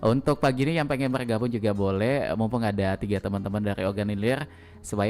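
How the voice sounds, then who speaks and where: A man with an ordinary speaking voice talks at a fairly quick pace, his fairly low pitch showing ordinary variation. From Palembang, South Sumatra. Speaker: radio host. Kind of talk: radio talk show interview. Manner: frequent backchannel affirmations.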